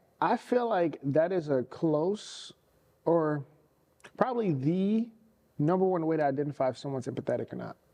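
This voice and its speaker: A woman in a St. Louis accent, very deep and low in pitch, dark and mellow in tone, with lively intonation and long, frequent pauses. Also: moderate pace. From US Midwest, St. Louis. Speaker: podcast co-host. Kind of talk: casual chat.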